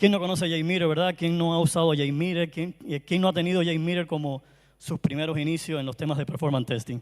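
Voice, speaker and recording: Speaking very fast with a strong Cuban accent, a man keeps a high pitch and fairly even intonation. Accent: Caribbean Cuban Spanish, strong. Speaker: performance tester, conference speaker. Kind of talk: conference talk.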